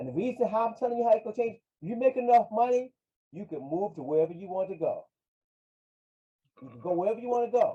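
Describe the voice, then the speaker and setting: Speaking with an American accent, a man uses a high pitch, lively intonation, and a dark, mellow tone. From Virginia (Hampton). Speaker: financial advisor. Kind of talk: interview.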